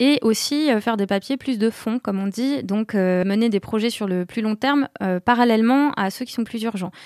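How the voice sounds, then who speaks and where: A woman's fairly high-pitched voice, a normal speaking voice at a moderate pace with ordinary pitch variation, on a very clean, dry, close recording with a silent background and no echo. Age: 30s. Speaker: office manager, former journalist. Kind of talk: interview.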